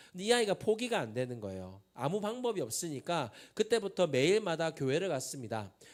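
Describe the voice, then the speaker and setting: In a very clean recording with a silent background, a man with a strong Busan accent talks at a fairly quick pace and fairly high pitch with very wide pitch swings. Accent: strong Busan (Gyeongsang) dialect. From Busan, South Korea. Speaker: pastor, youth prayer movement leader. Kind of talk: sermon. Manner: conversational, engages audience with questions.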